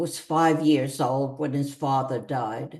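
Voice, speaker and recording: A woman's dark, mellow tone at a very slow pace over a quiet background. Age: 80s+. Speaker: community theater reader. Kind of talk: reading aloud.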